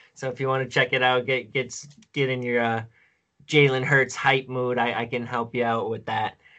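A man speaks at a moderate pace and a medium pitch, his intonation monotone and flat. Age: 20s. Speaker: fantasy football analyst. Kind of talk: casual chat.

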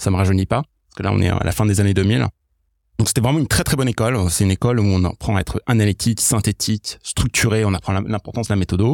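A man talks at a very fast pace with a fairly low pitch and ordinary pitch variation. His loudness stays very even, in a dry, close sound with no echo. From mixed: Iraq, England, US, France from age 10. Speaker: product leader. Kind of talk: podcast interview.

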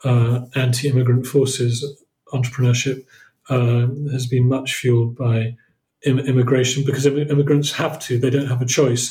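There is a dark, mellow tone to this man's somewhat breathy voice as he speaks at a moderate pace and medium pitch with monotone, flat intonation. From southern England. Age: 50s. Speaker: entrepreneur and investor. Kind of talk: interview. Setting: remote call.

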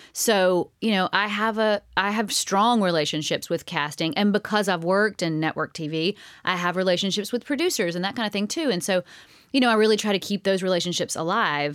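In a very clean recording with a silent background, a woman with a medium pitch speaks at a fairly quick pace, keeping very even loudness and ordinary pitch variation. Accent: American. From US South, Alabama. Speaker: actress and dancer. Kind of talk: casual interview chat.

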